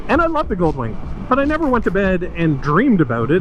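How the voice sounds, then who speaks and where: A man speaks fairly quickly with ordinary pitch variation, amid noticeable background noise and audible room echo. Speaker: motorcycle vlogger. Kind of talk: casual ride-along vlog. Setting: riding a motorcycle outdoors. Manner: hesitant, many fillers.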